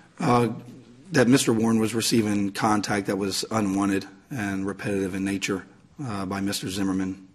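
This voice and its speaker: Amid noticeable background noise, a man talks fairly quickly at a fairly low pitch with fairly even intonation. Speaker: police detective witness. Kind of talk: court testimony. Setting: courtroom witness stand.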